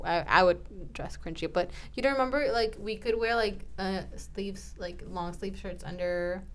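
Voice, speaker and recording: At a moderate pace and with hardly any pauses, a woman talks in a medium pitch with ordinary pitch variation and vocal fry. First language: not English. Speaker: podcast co-host. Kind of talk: casual chat.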